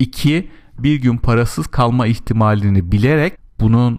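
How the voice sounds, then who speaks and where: In a plain, everyday voice, a man with a medium pitch talks at a fairly slow pace with lively intonation. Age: 40s. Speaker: podcast host, money advisor. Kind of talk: solo monologue.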